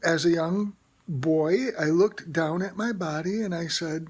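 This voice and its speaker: Here is a woman with an ordinary speaking voice, fairly low in pitch. She moves at a moderate pace with ordinary pitch variation. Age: 60s. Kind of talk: personal testimony to camera. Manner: casual, chatty.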